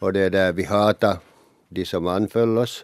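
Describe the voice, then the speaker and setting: This man speaks in a monotone, flat intonation. The sound is dry and close, with no echo. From Finland, Ostrobothnia. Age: 70s. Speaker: pensioner. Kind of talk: interview. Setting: studio.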